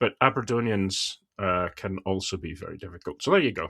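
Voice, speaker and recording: A man's fairly low voice with a bright, sharp tone and a slight Scottish accent, on a very clean recording with a silent background. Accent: mild Scottish. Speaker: cybersecurity podcast co-host, analyst. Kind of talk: casual chat.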